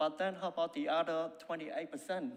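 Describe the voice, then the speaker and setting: A man with a non-native accent. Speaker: cafe owner speaking at council meeting. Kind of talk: public submission. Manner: halting.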